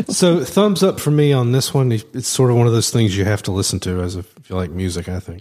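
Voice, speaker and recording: With a Southern US accent and a dark, mellow tone, this voice moves at a fairly quick pace with hardly any pauses and very wide pitch swings, captured on a very clean recording with a silent background. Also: man, medium pitch for a man. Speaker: podcast host. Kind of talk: casual chat.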